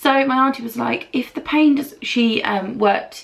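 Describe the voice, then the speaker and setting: With an English accent, this voice shows ordinary variation in pitch. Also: woman. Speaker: beauty vlogger. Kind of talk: casual chat.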